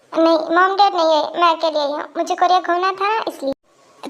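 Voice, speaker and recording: A woman puts on a character voice at an extremely high pitch. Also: moderate pace. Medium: audio drama. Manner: bright, effusive.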